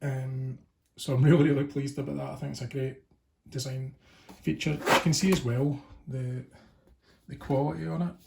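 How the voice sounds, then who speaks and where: A man speaks at a medium pitch with ordinary pitch variation and a somewhat breathy sound. He leaves long, frequent pauses. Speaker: tabletop gaming youtuber. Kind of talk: unboxing video. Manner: fast.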